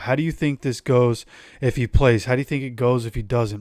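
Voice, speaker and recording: With an animated tone, a man of medium pitch talks at a moderate pace with ordinary pitch variation on a very clean recording with a silent background. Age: 30s. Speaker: sports YouTuber / football commentator. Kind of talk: casual video commentary.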